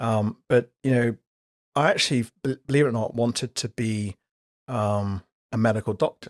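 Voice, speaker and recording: A man with an English accent and fairly even intonation, with long, frequent pauses, in a dry, close sound with no echo. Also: medium pitch for a man, moderate pace. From UK, raised from age 8 after West African childhood. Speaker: company director, insurance executive. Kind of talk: interview.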